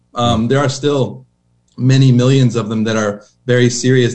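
An American accent marks this man's speech at a fairly quick pace. He has an unremarkable speaking voice. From Oklahoma. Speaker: missionary. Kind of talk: interview.

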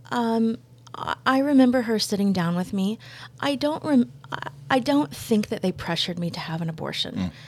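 A woman speaks at a moderate pace in a fairly high, somewhat breathy voice. Her pitch swings very widely. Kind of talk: testimony. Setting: studio.

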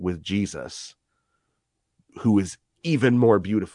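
A man's fairly low voice at a very slow pace against a quiet background. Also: dry, close sound with no echo. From Scotland. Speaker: author and scholar. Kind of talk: casual chat.

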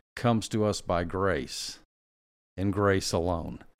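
His pitch is fairly low with ordinary pitch variation. The man has a plain, everyday voice. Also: very clean recording, silent background. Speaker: pastor. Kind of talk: teaching discussion.

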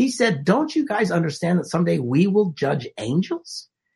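Speaking at a moderate pace in a Midwestern US accent, a man uses a high pitch with very wide pitch swings. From Wisconsin. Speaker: marriage and relationship speaker. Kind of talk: casual conversation. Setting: video call.

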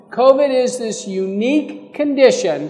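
With noticeable background noise, a man at an extremely high pitch speaks at a fairly slow pace with ordinary pitch variation. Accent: American. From Texas, Fort Worth area. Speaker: physician. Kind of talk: live panel discussion.

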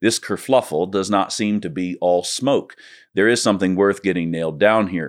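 A plain, everyday voice from a man, fairly low in pitch with ordinary variation, at a moderate pace on a very clean recording with a silent background. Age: 30s. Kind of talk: scripted essay narration.

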